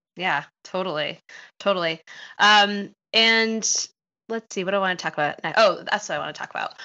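Delivered at a moderate speed, an ordinary speaking voice keeps ordinary pitch variation. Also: woman, medium pitch for a woman. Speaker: podcast host, dietitian and running coach. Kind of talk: podcast interview.

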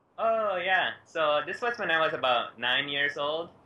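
Light background noise runs under a man talking at a moderate pace. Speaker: remote interview guest. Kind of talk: interview answer. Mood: cheerful, laughing often. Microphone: video call.

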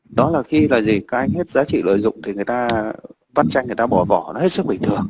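Fast and full of lively intonation, a man speaks at medium pitch with a slightly mellow tone and a slightly husky edge.

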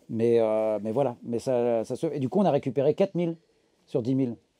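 A man with a dark, mellow tone speaks at a moderate speed, his pitch varying in an ordinary way against a quiet background. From Normandy, France. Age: 40s. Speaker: market gardener. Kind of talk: farm tour talk.

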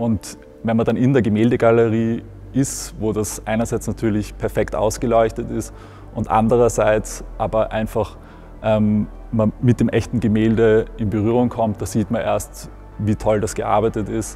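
At a moderate pace, a man is talking. Music sounds faintly behind him. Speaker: museum editor. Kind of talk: interview answer. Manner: casual, reflective, with frequent hesitations. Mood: warm, nostalgic. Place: hall. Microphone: lapel.

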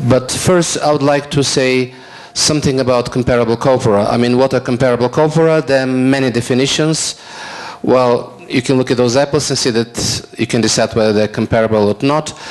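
Keeping a very even loudness, a man talks at a fairly quick pace with fairly even intonation. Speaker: invited lecturer. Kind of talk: lecture. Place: hall. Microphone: handheld.

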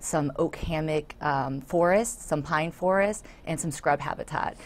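A woman with an American accent and a very deep, low pitch, moderate in pace and fairly even in intonation. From Florida, South Hillsborough County; Florida. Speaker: nature center volunteer and board member; guest. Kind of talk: interview. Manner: hesitant with many fillers. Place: studio. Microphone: lapel.

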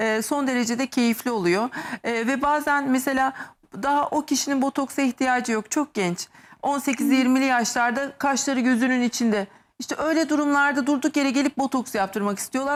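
Her voice is high-pitched and animated, from a woman speaking at a moderate pace. The loudness stays very even throughout. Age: 50s. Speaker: medical aesthetics doctor. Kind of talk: TV talk show interview.

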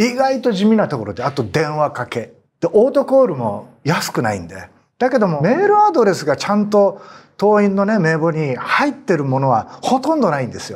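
The speaker is a man with a high pitch and very wide pitch swings. He keeps a moderate pace. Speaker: former politician. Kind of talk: panel discussion. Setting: studio. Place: studio. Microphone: lapel.

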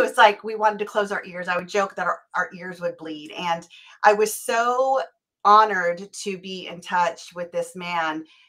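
A woman speaks at a moderate pace with a bright, sharp tone and ordinary pitch variation. Her loudness swings widely against a quiet background. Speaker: show host. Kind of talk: show introduction. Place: home room. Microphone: video call.

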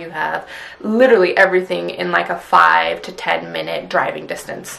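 Here a woman is speaking. Her pace is moderate. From US Pacific Northwest. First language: Punjabi. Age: 20s. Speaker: YouTuber. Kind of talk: casual vlog monologue. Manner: animated. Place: home room. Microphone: phone near.

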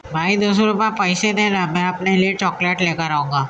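Over clear background noise, a female-sounding, put-on character voice whines at a middle pitch and a moderate pace. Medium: cartoon. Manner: pleading, whiny.

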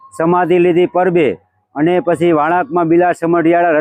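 The recording is dry and close with no echo, carrying a man's high-pitched voice. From Saurashtra, Gujarat, India. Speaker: temple volunteer. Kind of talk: oral history storytelling.

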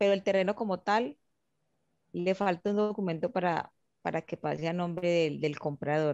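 A woman talks in a plain, everyday voice, fairly low in pitch with ordinary pitch variation. Her moderate pace comes through dry with no echo over a quiet background. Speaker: student participant. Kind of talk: question during online class. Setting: video call. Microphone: video call.

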